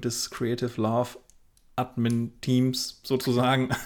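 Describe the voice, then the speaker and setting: A man's medium-pitched voice comes across in a very clean recording with a silent background. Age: 30s. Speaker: wedding photographer, podcast co-host. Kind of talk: casual chat.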